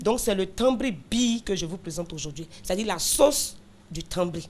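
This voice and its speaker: The speaker talks at a moderate pace with a slight Burkinabé accent. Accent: light Burkinabé accent in French. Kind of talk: explaining a local dish conversationally.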